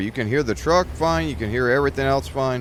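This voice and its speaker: Over noticeable background noise, a man talks at a medium pitch. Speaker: gaming video creator. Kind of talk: casual gameplay commentary. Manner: loud; hesitant, many fillers. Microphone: new mic, voice picked up too quietly.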